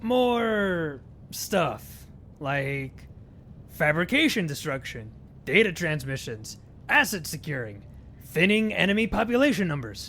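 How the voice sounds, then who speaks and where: A put-on character voice at a middle pitch, fairly slow, with very wide pitch swings, long, frequent pauses, and clear background noise. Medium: audio drama. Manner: dry, deadpan.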